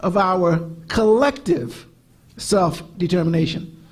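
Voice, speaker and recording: A man's voice is heard with audible room echo. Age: 60s. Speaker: civil rights lawyer and law teacher. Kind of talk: conference panel talk.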